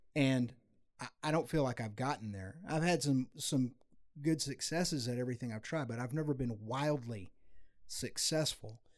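At a moderate pace, a man uses a normal speaking voice, pitched in the medium range with ordinary pitch variation. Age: 50s. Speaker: musician and adventure video creator. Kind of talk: casual chat.

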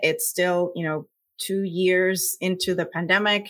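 On a very clean recording with a silent background, a woman speaks with a Puerto Rican accent. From Puerto Rico. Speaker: scientist and science communicator. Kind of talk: interview.

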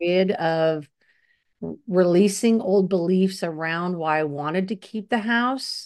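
The woman uses a normal speaking voice with ordinary pitch variation. Her pace is fairly slow. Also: medium pitch for a woman, quiet background. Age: 50s. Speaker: podcast co-host. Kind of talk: casual chat. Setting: video call.

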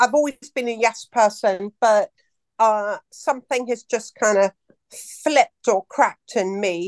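A woman with an unremarkable speaking voice and fairly high pitch talks at a fairly slow pace with lively intonation, in a dry, close sound with no echo. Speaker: caller asking a question. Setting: call.

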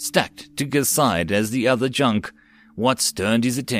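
Plain reading aloud is delivered with ordinary pitch variation.

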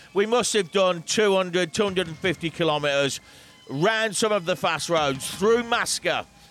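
Music plays behind a man speaking at a very slow pace. His voice is high in pitch, very even in loudness, and ordinary in pitch variation. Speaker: radio host. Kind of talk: unscripted radio dj patter between records. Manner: chatty, relaxed, rambling, upbeat; animated, casual, ad-libbing between songs.

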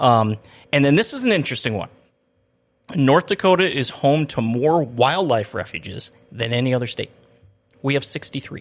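On a very clean recording with a silent background, a man with a fairly high voice speaks at a moderate pace with lively intonation and long, frequent pauses. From Minnesota. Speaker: city public information officer, podcast host. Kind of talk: casual interview chat. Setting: studio.

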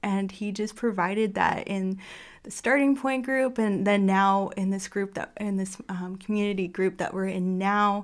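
In a very clean recording with a silent background, a woman with a normal speaking voice speaks at a moderate pace and medium pitch with fairly even intonation. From Canada. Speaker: church member. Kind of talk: testimony.

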